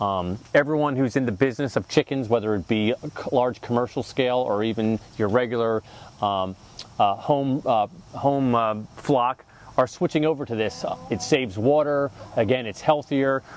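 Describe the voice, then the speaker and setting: At a moderate pace, the voice shows ordinary pitch variation in a dry recording with no echo. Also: man. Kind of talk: tutorial. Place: garden. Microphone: lapel.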